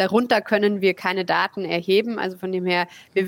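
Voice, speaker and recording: A woman's medium-pitched voice in a monotone, flat intonation, dry and close with no echo. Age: 20s. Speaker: startup co-founder. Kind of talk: interview.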